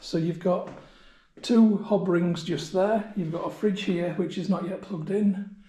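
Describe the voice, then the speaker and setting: Audible room echo surrounds a man whose high voice has a dark, mellow tone and fairly even intonation. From Yorkshire, northern England. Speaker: travel vlogger. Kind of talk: tutorial. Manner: casual.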